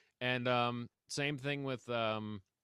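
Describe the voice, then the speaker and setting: A man speaks in a plain, everyday voice of medium pitch with ordinary pitch variation. The recording is very clean, with a silent background. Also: dry, close sound with no echo. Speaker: local musician and newspaper columnist, interviewer. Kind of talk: casual interview conversation.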